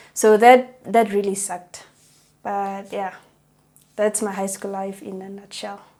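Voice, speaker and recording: A woman's dark, mellow voice at a medium pitch and moderate pace, monotone and flat in intonation. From South Africa, Northern Cape. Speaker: psychology student. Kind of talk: interview.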